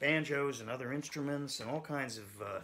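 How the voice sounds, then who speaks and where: Light background noise sits behind a man's voice. He talks at a moderate pace. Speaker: banjo teacher. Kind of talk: tutorial. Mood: relaxed, friendly. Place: home room. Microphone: phone near.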